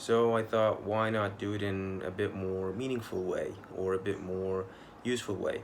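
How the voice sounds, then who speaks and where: A man's fairly low voice in monotone, flat intonation at a moderate pace, with audible room echo. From Egypt, Mansoura. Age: 20s. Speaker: pharmacy student. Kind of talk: video application answering interview questions. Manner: hesitant, with fillers.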